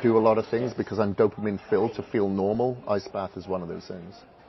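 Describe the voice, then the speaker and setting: Amid noticeable background noise, a man speaks at a very fast pace with a fairly low pitch and ordinary pitch variation. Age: 40s. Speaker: fitness and transformation coach. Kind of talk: casual chat. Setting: live event with audience.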